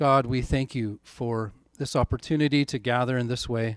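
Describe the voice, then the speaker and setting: A man's monotone, flat intonation, in a dry sound with no echo against a quiet background. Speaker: pastor. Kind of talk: sermon. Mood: calm, reflective. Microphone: handheld.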